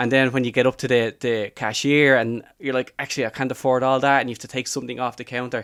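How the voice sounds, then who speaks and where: A man talks at a medium pitch with a Dublin accent. The recording is very clean, with a silent background. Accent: Dublin Irish. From Ireland, Dublin. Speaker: life coach. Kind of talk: podcast interview. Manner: casual conversational.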